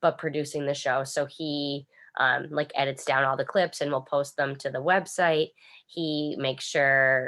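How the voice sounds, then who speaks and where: With a Boston accent, a woman speaks in a very deep, low voice, bright and sharp in tone, with monotone, flat intonation. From Boston area, Massachusetts (Quincy). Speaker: radio personality. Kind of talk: interview. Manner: casual, not carefully articulated.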